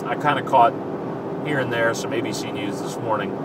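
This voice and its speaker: A man speaks over noticeable background noise. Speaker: radio host. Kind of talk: casual talk to camera. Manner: laid back.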